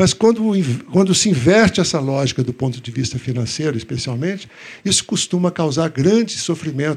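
This man's high-pitched voice moves at a moderate pace with very wide pitch swings. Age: old. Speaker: cartoonist and medical professor. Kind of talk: public talk.

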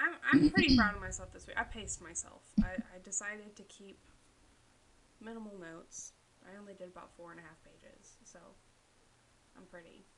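A woman with a medium pitch talks at a fairly quick pace with lively intonation, big swings in loudness and long, frequent pauses. Noticeable background noise runs underneath. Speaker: podcast co-host. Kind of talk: casual chat. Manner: loud laugh.

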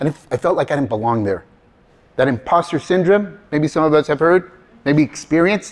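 Animated and at a fairly quick pace, a man with a fairly high pitch uses lively intonation yet leaves long, frequent pauses. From California, US. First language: Spanish. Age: 50s. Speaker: motivational speaker and career trainer. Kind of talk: live talk to audience. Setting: stage with audience. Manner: animated, humorous.

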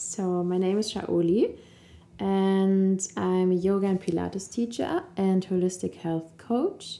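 Very slowly and at very even loudness, a woman with a German accent speaks in a dark, mellow tone with fairly even intonation. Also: medium pitch for a woman. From Germany, Cologne. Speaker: yoga teacher and health coach. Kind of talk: casual chat. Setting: in person, Lisbon.

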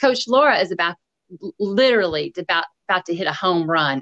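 In a Tennessee accent, a woman speaks very fast at a fairly low pitch. The sound is dry and close, with no echo. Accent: Southern US (Tennessee). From US South. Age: 50s. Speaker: podcast host and running coach. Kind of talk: casual interview chat. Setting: remote call. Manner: animated.

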